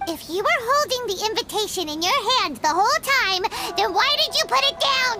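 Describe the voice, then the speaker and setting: An extremely high-pitched, put-on character voice at a moderate pace, with music in the background. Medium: video game. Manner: bright, inquisitive.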